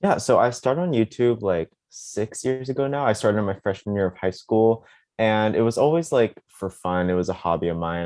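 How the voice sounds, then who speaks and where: A man with an American accent and a plain, everyday voice, fairly low in pitch with ordinary pitch variation, at a fairly quick pace against a quiet background. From US South, Charleston, South Carolina. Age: 20s. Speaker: content creator, college student. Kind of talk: interview. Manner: casual, filler-heavy.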